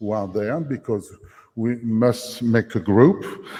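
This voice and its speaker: A man's dark, mellow tone at a very slow pace. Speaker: company founder presenting startup. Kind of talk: conference pitch. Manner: halting.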